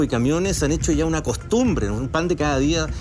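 There is audible room echo and noticeable background noise. A man talks at a fairly quick pace. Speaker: political candidate. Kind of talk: televised debate.

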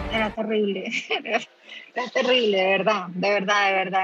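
A woman at a medium pitch in a monotone, flat intonation, over noticeable background noise. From Colombia. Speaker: expat mother. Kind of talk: interview testimony. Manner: hesitant, many fillers.

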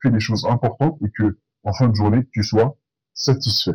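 A man's somewhat breathy voice, dark and mellow in tone, with a dry, close sound and no echo. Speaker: podcaster, accountant. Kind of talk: solo podcast monologue. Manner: casual, hesitant with fillers.

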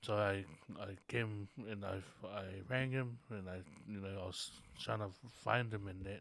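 A man with a Tongan accent and fairly low pitch, leaving long, frequent pauses. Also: fairly even intonation, moderate pace. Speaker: visual artist. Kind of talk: casual interview chat. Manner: halting.

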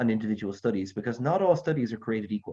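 Somewhat breathy, a man races along at a very fast pace with lively intonation in an American accent. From Middle East, then Ireland. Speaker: scientist, epidemiologist. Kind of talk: panel discussion.

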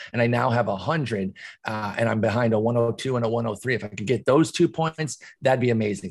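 The voice belongs to a man and is somewhat breathy. He keeps a medium pitch, a moderate pace and ordinary pitch variation. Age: 40s. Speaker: fantasy baseball analyst. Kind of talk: casual chat.

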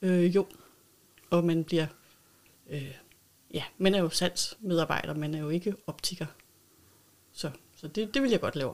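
A woman with a fairly low pitch and ordinary pitch variation talks at a fairly slow pace, with big swings in loudness and long, frequent pauses. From North Zealand, Denmark. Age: 50s. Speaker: optician and local politician. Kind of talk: interview. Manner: hesitant with fillers.

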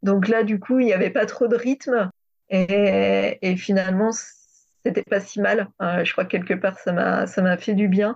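Very slow speech with fairly even intonation and very even loudness against a quiet background. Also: woman, medium pitch for a woman. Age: 30s. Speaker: sophrologist and former French teacher. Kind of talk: testimony. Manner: hesitant.

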